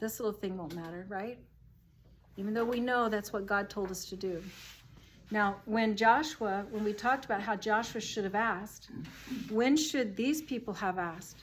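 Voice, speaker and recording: A woman's normal speaking voice, fairly high in pitch, at a moderate pace with ordinary pitch variation. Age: 60s. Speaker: Bible study leader. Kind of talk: group Bible study discussion. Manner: conversational.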